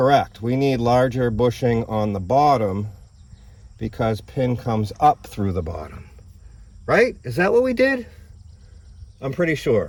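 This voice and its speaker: At a fairly slow pace with long, frequent pauses, a man speaks at medium pitch with lively intonation. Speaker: car repair video host. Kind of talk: tutorial. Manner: animated.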